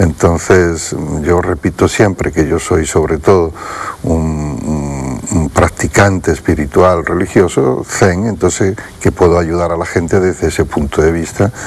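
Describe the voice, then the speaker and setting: Over noticeable background noise, a man speaks fairly slowly in a very deep, low pitch. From Andalusia, Spain (Utrera, Seville). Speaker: Zen Buddhist teacher. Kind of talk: TV interview.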